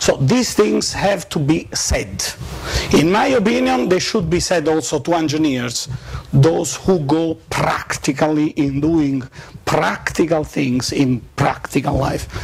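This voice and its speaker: A man speaks fairly slowly with ordinary pitch variation while noticeable background noise carries on behind him. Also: fairly high pitch for a man. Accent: Neapolitan. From Naples, Italy. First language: Italian. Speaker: professor. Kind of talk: lecture. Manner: halting, with frequent fillers.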